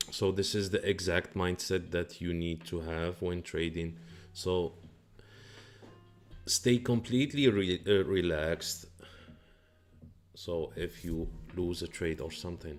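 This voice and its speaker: A man with a very deep, low pitch and a non-native accent, ordinary pitch variation, a fairly slow pace with long, frequent pauses, and music in the background. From Morocco. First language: not English. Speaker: day trader. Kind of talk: live trading stream commentary. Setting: live stream. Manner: halting.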